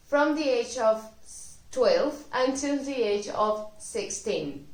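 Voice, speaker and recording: Speaking with a Spanish accent, a woman shows ordinary pitch variation. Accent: Spanish (Spain). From Spain. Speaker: Spanish language teacher. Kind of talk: educational talk to camera.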